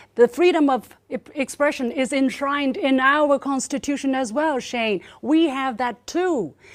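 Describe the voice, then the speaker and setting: Ordinary pitch variation and a Chinese accent mark this speech, delivered at a fairly slow pace with hardly any pauses. The recording is very clean, with a silent background. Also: woman, high pitch for a woman. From China. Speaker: state media journalist. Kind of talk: panel debate speech. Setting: forum with audience. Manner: animated.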